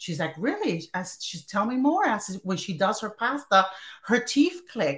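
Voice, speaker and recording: A woman with an American accent, medium pitch, very wide pitch swings, big swings in loudness, an animated tone and a moderate pace. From North New Jersey. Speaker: podcast host. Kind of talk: casual interview chat.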